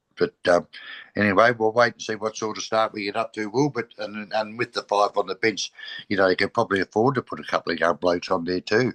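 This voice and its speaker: A man with an Australian accent, fairly low in pitch, at a very fast pace with fairly even intonation and a dry, close sound with no echo. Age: 60s. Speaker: football podcast co-host. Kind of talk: casual chat.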